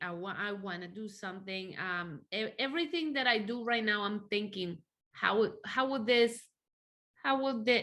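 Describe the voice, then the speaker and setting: With a Spanish accent, a woman speaks at a moderate pace and medium pitch, her tone bright and sharp and her pitch variation ordinary, on a very clean recording with a silent background. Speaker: church interpreter. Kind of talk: interview testimony.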